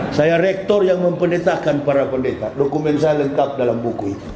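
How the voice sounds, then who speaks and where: Room echo and a noticeable layer of background noise fill the recording. The talking is fairly quick, and the pitch varies in an ordinary way. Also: man. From North Sulawesi (Manado). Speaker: Islamic preacher. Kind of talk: sermon. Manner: animated.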